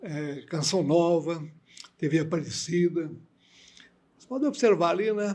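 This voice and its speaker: This man talks with a high pitch at a fairly slow pace. His speech is broken by long, frequent pauses. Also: ordinary pitch variation, big swings in loudness. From Minas Gerais, Brazil (Viçosa). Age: 80s+. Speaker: priest. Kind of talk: interview.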